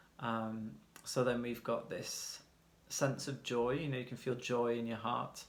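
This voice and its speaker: A man talks at a fairly slow pace with fairly even intonation. Audible room echo surrounds his voice. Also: medium pitch for a man. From UK. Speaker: tarot reader. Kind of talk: tarot reading. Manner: casual, hesitant with fillers.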